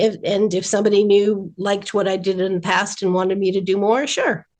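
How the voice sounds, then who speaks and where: At a moderate pace, this is an unremarkable speaking voice with an American accent. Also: woman. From rural New Jersey. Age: 60s. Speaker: animation writer. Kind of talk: interview.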